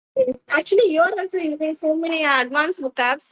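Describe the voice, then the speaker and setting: At a fairly quick pace, a woman talks with ordinary pitch variation, the sound dry and close with no echo. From India, Tamil Nadu. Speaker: English learner. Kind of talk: casual chat.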